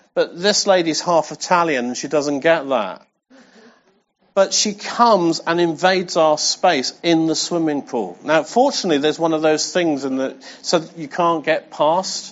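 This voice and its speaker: A man speaks at a moderate pace with an English accent and a fairly high pitch. His pitch varies in an ordinary way. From England. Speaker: pastor. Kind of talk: sermon. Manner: animated.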